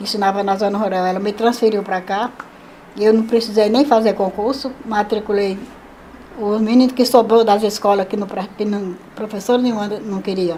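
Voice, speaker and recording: Over noticeable background noise, a woman speaks at a fairly high pitch with monotone, flat intonation. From Brazil, Pernambuco sertão (Salgueiro). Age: 70s. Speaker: retired teacher and seamstress. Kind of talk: life story interview. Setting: at her home.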